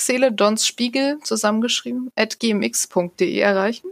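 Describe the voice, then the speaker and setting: A woman's plain, everyday voice, fairly high in pitch, at a moderate pace with ordinary pitch variation, in a dry, close sound with no echo. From Saxony, Erzgebirge. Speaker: podcast host and blogger. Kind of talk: casual chat.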